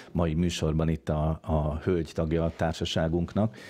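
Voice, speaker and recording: This man's voice is very deep and low in pitch, with a dark, mellow tone. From Hungary. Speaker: radio host. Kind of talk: moderated radio talk show. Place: studio. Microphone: studio mic.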